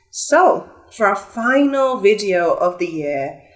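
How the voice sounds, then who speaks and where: A woman talks at a very slow pace in a fairly high pitch. Her pitch swings very widely. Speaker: tarot reader. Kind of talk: tarot reading. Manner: casual, chatty.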